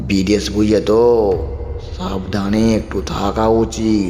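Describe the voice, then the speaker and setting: Against clear background noise, a man in a put-on character voice speaks very slowly at a fairly low pitch. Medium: read story. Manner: quiet, terse, evasive.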